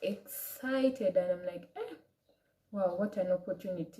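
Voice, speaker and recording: A woman with an African accent speaks at a moderate pace. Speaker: vlogger. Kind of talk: personal story vlog. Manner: casual, hesitant.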